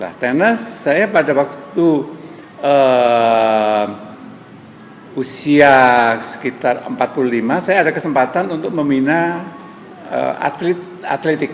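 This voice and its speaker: With music in the background, a man speaks at fairly high pitch and a very slow pace, leaving long, frequent pauses. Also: lively intonation. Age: 70s. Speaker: senior gym-goer, former athletics coach. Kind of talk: interview.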